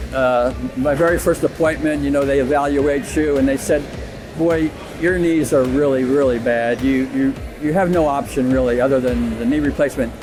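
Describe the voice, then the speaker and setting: Music plays in the background as the speaker keeps a moderate pace and fairly even intonation. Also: man, fairly high pitch for a man. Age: 70s. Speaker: competitive weightlifter. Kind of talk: interview answer.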